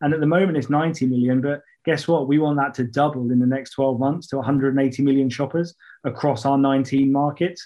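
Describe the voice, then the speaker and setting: The speaker has a British accent and keeps a very even loudness. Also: man, fairly high pitch for a man, moderate pace. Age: 30s. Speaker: fintech partnerships director. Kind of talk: interview. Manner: animated; hesitant, many fillers.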